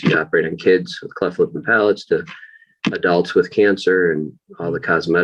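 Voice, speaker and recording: A man's very deep, low voice with a slight upstate New York accent, very fast pace and fairly even intonation. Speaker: plastic surgeon. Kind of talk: interview.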